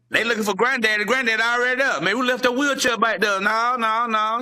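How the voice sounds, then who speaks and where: Projecting a raised voice at a very fast pace, a man speaks at a high pitch with ordinary pitch variation. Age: 60s. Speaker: entertainer and chef. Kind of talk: interview with joke telling. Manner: animated.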